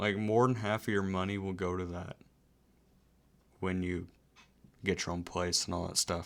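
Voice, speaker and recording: Over a silent background in a very clean recording, a man with a very deep, low pitch speaks at a moderate pace in a monotone, flat delivery marked by long, frequent pauses. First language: not English. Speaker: Twitch streamer. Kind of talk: casual live stream chat. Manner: rambling, conversational.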